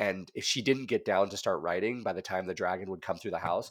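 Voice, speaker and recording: A man with an ordinary speaking voice talks at a fairly quick pace with an American accent and fairly even intonation. The recording is very clean, with a silent background. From Montana, US (Whitefish). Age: 40s. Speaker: creative director. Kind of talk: casual chat.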